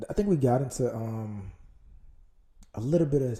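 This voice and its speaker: The man's voice has a dark, mellow tone and is somewhat breathy. He keeps a moderate pace with ordinary pitch variation. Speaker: solo podcast host. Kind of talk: casual monologue. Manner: rambling, hesitant with fillers.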